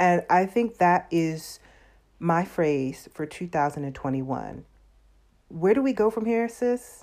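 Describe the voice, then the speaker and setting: Fairly low-pitched woman with a Southern US accent, very wide pitch swings and a fairly slow pace. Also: very clean recording, silent background. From US South. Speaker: podcast host. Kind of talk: casual monologue.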